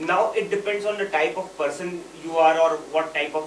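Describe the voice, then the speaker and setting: Loud and high-pitched, a man talks over noticeable background noise. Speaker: software consultant. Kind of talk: panel discussion.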